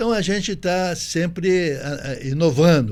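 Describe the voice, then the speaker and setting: A man with a fairly high pitch talks amid audible room echo. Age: 80s+. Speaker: businessman and former politician. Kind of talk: interview.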